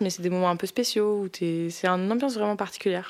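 With ordinary pitch variation, an ordinary speaking voice goes along at a fairly quick pace. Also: woman. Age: 20s. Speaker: medical resident in obstetrics and gynecology. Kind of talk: documentary interview and ward recordings.

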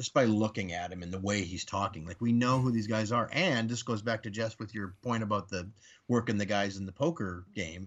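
A normal speaking voice from a man, fairly low in pitch, at a fairly quick pace with ordinary pitch variation. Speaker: podcast guest. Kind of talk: casual chat.

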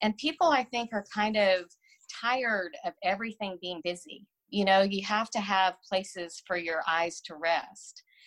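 A woman with an American accent and an unremarkable speaking voice talks at a moderate pace, her medium pitch showing ordinary variation. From Texas. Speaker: business owner. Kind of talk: interview.

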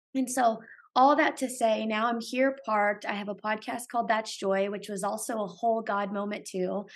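Against a quiet background, a woman with an American accent and a fairly high pitch talks at a moderate pace. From US West Coast, San Francisco Bay Area. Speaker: podcaster. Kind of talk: casual interview. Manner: animated.

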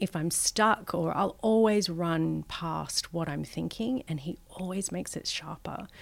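A woman with an Australian accent, fairly low in pitch, at a fairly slow pace with hardly any pauses and ordinary pitch variation. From Australia, Western Sydney. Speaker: advertising strategist. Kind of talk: interview. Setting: office building.

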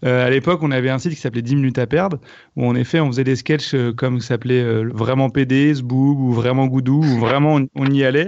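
At a fairly quick pace, a man with a medium pitch keeps his intonation fairly even. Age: 30s. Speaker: comedian and online video creator. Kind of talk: casual chat.

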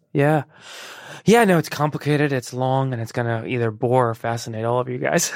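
A man talks at a fairly quick pace with medium pitch. His pitch varies in an ordinary way. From Chicago suburbs, US (born in Iran). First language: Persian. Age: 30s. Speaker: actor. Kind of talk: casual interview. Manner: halting, many repeated words.

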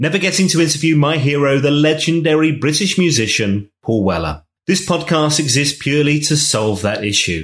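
His intonation is lively and his loudness very even, with hardly any pauses at a fairly quick pace. The man's pitch sits fairly high, and his voice is somewhat breathy. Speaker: podcast host and former radio presenter. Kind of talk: casual interview.

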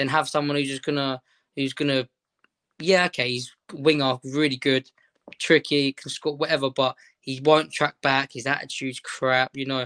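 With a London accent, a man delivers a bright, sharp tone in flat, monotone intonation against a quiet background. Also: fairly high pitch for a man, moderate pace. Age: 20s. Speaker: Sunday league footballer. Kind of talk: casual interview.

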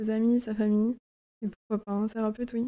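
A woman's fairly high pitch with a dark, mellow tone, monotone, flat intonation and a moderate pace, in a dry, close sound with no echo. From Brittany, France (Lorient). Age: 20s. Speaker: podcast guest. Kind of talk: personal testimony. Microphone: poor audio quality, early recording.

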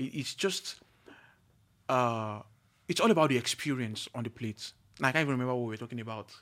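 At a very fast pace broken by long, frequent pauses, a man speaks at medium pitch with ordinary pitch variation. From Nigeria. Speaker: chef and culinary school owner. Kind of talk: casual chat. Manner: halting, repeats words.

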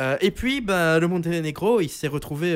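Recorded very cleanly against a silent background, a man with a plain, everyday voice speaks at a fairly high pitch with ordinary pitch variation. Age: 20s. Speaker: student radio host. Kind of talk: casual chat; reading aloud.

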